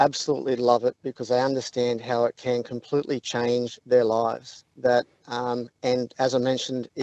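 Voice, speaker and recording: An Australian accent at a moderate pace, with hardly any pauses, monotone, flat intonation and a dry, close sound with no echo. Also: man, medium pitch for a man. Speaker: app co-founder. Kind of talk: radio interview.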